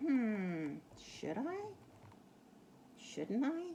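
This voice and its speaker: A put-on character voice with very wide pitch swings plays over clear background noise. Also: female-sounding voice, fairly high pitch for a woman. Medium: read story. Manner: unsure, meek.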